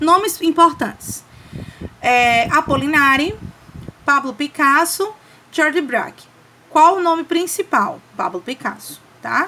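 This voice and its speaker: Speaking very slowly with long, frequent pauses, a woman uses a high pitch, lively intonation and a raised, projected voice. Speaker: teacher. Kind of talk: lecture.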